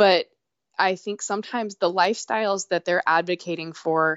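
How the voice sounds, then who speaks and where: A woman with a fairly low pitch uses a normal speaking voice, moving at a moderate pace. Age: 30s. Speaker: hiker and adventure trip host. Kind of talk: casual interview. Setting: phone call.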